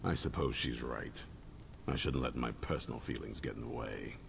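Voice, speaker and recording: A man's put-on character voice at a moderate pace over loud background noise. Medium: video game. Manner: stern, blunt.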